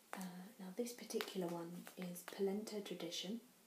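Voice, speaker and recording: A soft-spoken woman with a British accent and a fairly low pitch. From England. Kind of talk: ASMR show and tell. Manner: soft-spoken, quiet.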